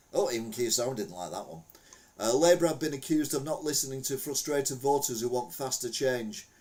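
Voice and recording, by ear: With lively intonation and a slightly mellow tone, a man talks at a fairly quick pace and a medium pitch, and room echo can be heard.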